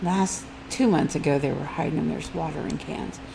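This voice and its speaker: Noticeable background noise and audible room echo surround a woman speaking at a fairly quick pace. Her pitch is very deep and low. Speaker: mobile game YouTuber. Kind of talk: gameplay commentary. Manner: casual, chatty.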